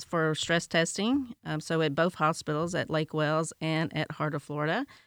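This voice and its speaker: This woman speaks with a Tennessee accent. Her pitch sits fairly low. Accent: Tennessee Southern. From Tennessee, US. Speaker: healthcare director. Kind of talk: interview.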